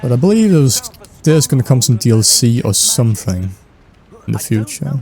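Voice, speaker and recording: A man talks at a medium pitch with lively intonation and very even loudness. Noticeable background noise runs underneath. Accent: Danish. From Denmark. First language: Danish. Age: 20s. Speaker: gaming and fan-theory youtuber. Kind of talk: casual chat while gaming. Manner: hesitant, many fillers.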